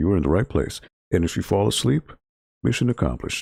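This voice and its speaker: Recorded very cleanly with a silent background and a dry, close sound with no echo, a man's very deep, dark, mellow voice with vocal fry swings very widely in pitch at a fairly quick pace. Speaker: library video game club streamer. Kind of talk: casual gaming livestream chat. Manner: low-energy, relaxed.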